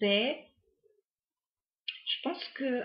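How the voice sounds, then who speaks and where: The voice is somewhat breathy. A woman delivers her words very slowly. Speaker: tarot card reader. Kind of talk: tarot reading to camera. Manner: hesitant, many fillers.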